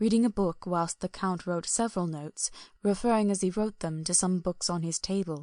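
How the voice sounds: Reading done in a natural voice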